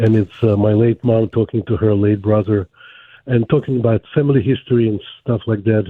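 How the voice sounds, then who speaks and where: A man's fairly quick, medium-pitched voice in a Ukrainian accent, with fairly even intonation and very even loudness. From Ukraine. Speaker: caller. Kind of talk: call-in question on a radio show.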